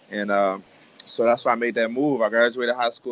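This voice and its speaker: Medium-pitched male speech with an American accent. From Maryland, US. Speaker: professional football player. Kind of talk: casual interview. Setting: video call.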